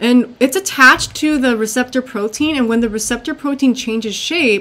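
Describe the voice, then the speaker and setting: A woman talks at a moderate pace. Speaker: teacher. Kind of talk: lecture. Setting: screen recording.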